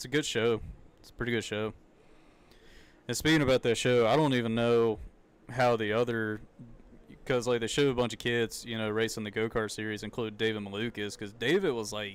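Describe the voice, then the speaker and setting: With a Southern accent, a man speaks at a fairly quick pace and fairly even intonation, broken by long, frequent pauses. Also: medium pitch for a man. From US South. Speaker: streamer. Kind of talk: live reaction commentary. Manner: casual, halting.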